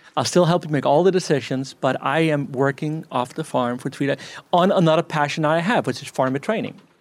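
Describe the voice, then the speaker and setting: In a very clean recording with a silent background, a man talks in an unremarkable speaking voice at a fairly high pitch and a fairly quick pace, with ordinary pitch variation. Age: 50s. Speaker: farmer.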